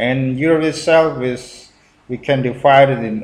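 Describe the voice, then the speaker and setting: Speaking very slowly in an Indonesian accent, a man keeps a medium pitch while audible room echo surrounds him. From Indonesia (Central Java, Purworejo). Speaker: YouTuber reacting to video. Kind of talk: video reaction commentary. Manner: halting, many fillers.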